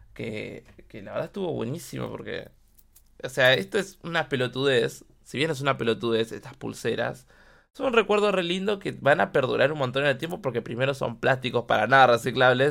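On a very clean recording with a silent background, a man speaks fairly quickly at a medium pitch, his tone animated, his intonation lively and his voice touched with vocal fry. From Argentina, Buenos Aires (Quilmes). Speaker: podcast host. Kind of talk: casual monologue.

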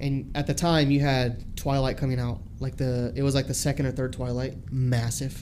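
With hardly any pauses, a man speaks at a medium pitch with fairly even intonation in a normal speaking voice. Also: moderate pace. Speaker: new co-host. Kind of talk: casual banter podcast. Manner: joking, laid-back.

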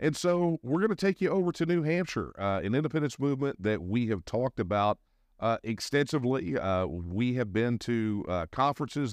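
With a Texan accent, the speaker talks at a fairly quick pace with very wide pitch swings, in a dry, close recording with no echo and a quiet background. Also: man. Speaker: podcast host and independence activist. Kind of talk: podcast interview.

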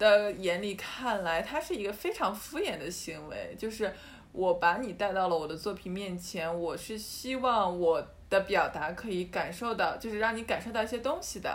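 Lively intonation and a fairly slow pace come through with audible room echo. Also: woman. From Yantai, Shandong, China. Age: young. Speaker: art student podcast co-host. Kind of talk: casual chat.

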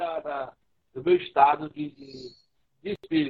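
The man talks at a very slow pace, yet his intonation stays lively. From Brazil, Ceará (Fortaleza). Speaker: writer, musician and radio host. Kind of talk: casual interview. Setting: live stream on social media.

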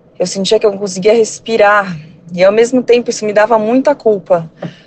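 A woman talks at a medium pitch with ordinary pitch variation. There is noticeable background noise. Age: 30s. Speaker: surgeon, mother. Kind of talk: testimony.

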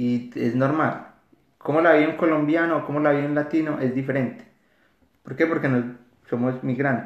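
At a moderate pace, a man talks with ordinary pitch variation, and audible room echo is present. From Colombia, Antioquia (Caldas, near Medellín). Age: 30s. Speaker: psychologist, recent immigrant. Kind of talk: podcast interview.

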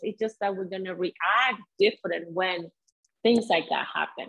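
A woman speaks with a Venezuelan accent. Her pace is moderate. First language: Spanish. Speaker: salsa dancer and mindset coach. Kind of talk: casual interview chat.

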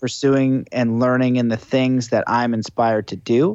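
A man talks in an ordinary speaking voice at a moderate pace and medium pitch. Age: 30s. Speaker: spiritual coach and podcaster. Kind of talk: casual chat. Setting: video call.

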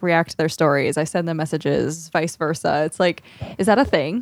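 An unremarkable speaking voice moves at a fairly quick pace with ordinary pitch variation. The sound is dry and close, with no echo. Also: woman. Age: 30s. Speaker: podcast co-host. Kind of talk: casual chat.

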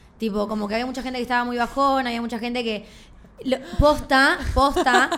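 A woman with a high-pitched voice speaks in a Rioplatense accent. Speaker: podcast co-host. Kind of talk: casual chat.

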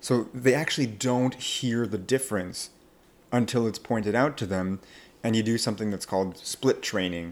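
A man with an unremarkable speaking voice at medium pitch, moderate pace and ordinary pitch variation, on a very clean recording with a silent background. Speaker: accent coach. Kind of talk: casual interview.

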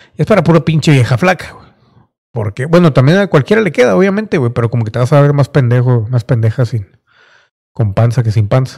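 A somewhat breathy man with a medium pitch is heard in dry, close sound with no echo. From Mexico (Monterrey). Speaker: podcast host. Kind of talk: casual solo monologue. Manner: animated.

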